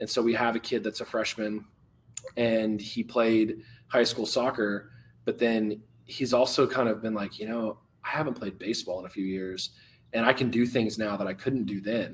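A man with an American accent and an ordinary speaking voice, medium pitch, moderate pace and fairly even intonation. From Texas. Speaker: youth fitness coach. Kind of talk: interview.

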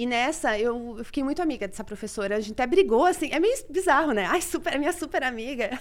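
Very fast speech with hardly any pauses and very wide pitch swings. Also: woman, high pitch for a woman. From Brazil. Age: 30s. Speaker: astrologer. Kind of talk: casual chat.

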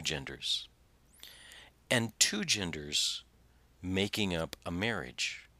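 A man's fairly low voice with lively intonation and a bright, sharp tone, long, frequent pauses, an American accent, and a very clean recording over a silent background. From Southern Indiana. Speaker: pastor and podcast host. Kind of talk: sermon-style podcast teaching with scripture reading. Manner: halting, many fillers; drops word endings.

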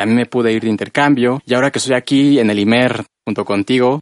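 A man talks at a very fast pace with fairly even intonation, in a dry, close sound with no echo. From central Mexico, rural State of Mexico. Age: 20s. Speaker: radio host. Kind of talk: casual radio chat. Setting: radio studio.

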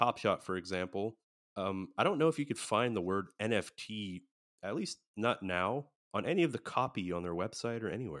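In an ordinary speaking voice, a man talks at a moderate pace with a fairly low pitch and lively intonation. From USA. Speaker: podcast host. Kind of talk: casual chat.

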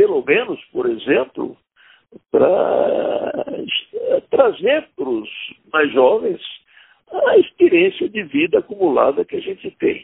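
Here a man speaks at a very slow pace. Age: 80s+. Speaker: political activist. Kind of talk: testimony.

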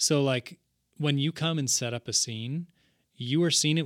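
In a very clean recording with a silent background and a dry, close sound with no echo, a man speaks with an ordinary speaking voice. His pace is fairly slow, his pitch medium, and his pitch variation ordinary. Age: 30s. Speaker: podcast host and video producer. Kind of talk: casual chat.

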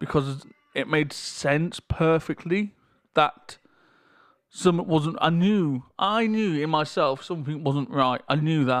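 A man with a British accent, fairly high in pitch with ordinary pitch variation, at a fairly slow pace on a very clean recording with a silent background. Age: 30s. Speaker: podcaster. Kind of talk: casual monologue. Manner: halting. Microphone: levels may be too loud or quiet.

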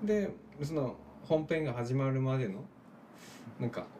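Somewhat breathy, dark and mellow tone from a man, with very wide pitch swings. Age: 30s. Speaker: musician. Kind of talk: casual chat. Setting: small room at a home.

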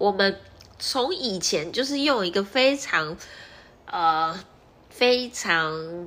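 Speaking very slowly with long, frequent pauses, a woman with a medium pitch and a bright, sharp tone makes very wide pitch swings. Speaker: podcast host, nurse and entrepreneur. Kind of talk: solo podcast monologue. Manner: casual, conversational.

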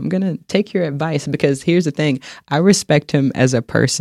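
With an American accent, a man talks in an unremarkable speaking voice at a moderate pace with ordinary pitch variation. The sound is dry and close, with no echo. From North Carolina, Charlotte. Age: 30s. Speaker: fitness instructor. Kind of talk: podcast interview.

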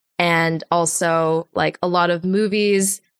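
A woman with an American accent and a plain, everyday voice speaks at a medium pitch with fairly even intonation, in a dry, close sound with no echo on a very clean recording with a silent background. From US, Los Angeles area. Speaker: animation assistant director. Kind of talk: interview conversation.

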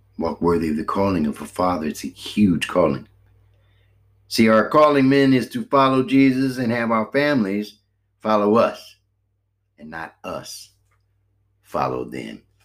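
A man's medium-pitched voice over background music, with very wide pitch swings, big swings in loudness, a moderate pace and long, frequent pauses. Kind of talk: sermon. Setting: home recording late at night. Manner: fervent preaching with repetitions and fillers.

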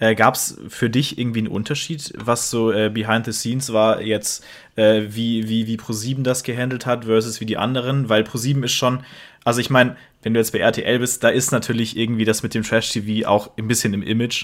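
At a fairly quick pace, a man speaks in a flat, monotone way at a medium pitch, on a very clean recording with a silent background. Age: 20. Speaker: podcast co-host. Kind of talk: casual chat.

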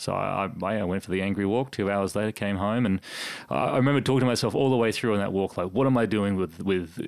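At a fairly quick pace, a man with an Australian accent speaks in a fairly low pitch with ordinary pitch variation. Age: 30s. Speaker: sports announcer. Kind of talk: casual chat. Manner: halting.

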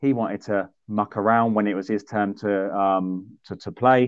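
With a southern English accent, a man speaks at a fairly low pitch with ordinary pitch variation. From southern England, High Wycombe. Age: 30s. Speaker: sports events organiser and podcast host. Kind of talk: casual chat.

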